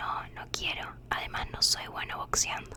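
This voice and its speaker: A woman is whispering at a fairly slow pace. Noticeable background noise can be heard. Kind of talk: sleep story reading. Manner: whispered.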